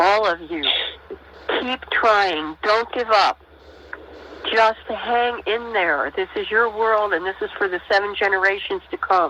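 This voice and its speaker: Pausing long and often, a woman speaks at a fairly slow pace in a fairly high pitch against noticeable background noise. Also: ordinary pitch variation. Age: 60s. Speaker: elder guest. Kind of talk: encouragement.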